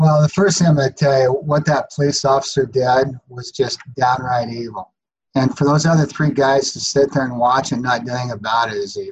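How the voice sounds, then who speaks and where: A man with a medium-pitched, somewhat breathy voice speaks at a moderate pace with ordinary pitch variation. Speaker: college baseball coach. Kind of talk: casual chat.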